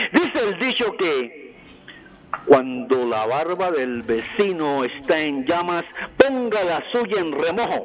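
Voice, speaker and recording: A man's high voice with very wide pitch swings at a very slow pace, over noticeable background noise. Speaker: caller. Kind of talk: call-in opinion.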